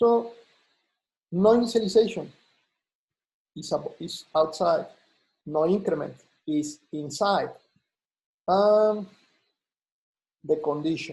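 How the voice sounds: Speaking slowly with long, frequent pauses, a man uses a fairly high pitch, a slightly mellow tone and a slightly husky edge. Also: ordinary pitch variation.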